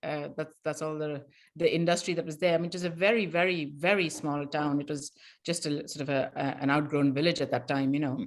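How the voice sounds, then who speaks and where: On a very clean recording with a silent background, the speaker goes at a very fast pace with fairly even intonation. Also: woman, very deep, low pitch for a woman. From India (Madras/Chennai). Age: 60s. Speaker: novelist. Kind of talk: casual chat. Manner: halting, many repetitions.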